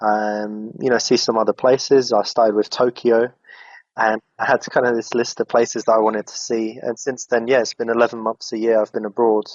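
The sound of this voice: At a moderate pace, a man speaks with medium pitch and little pitch movement in a dry, close sound with no echo.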